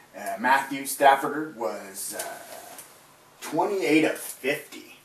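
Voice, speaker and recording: Through noticeable background noise and audible room echo, a man speaks at a very slow pace with lively intonation. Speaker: fantasy football show host. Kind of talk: casual sports recap broadcast. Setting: live webcast. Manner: filler-heavy, relaxed.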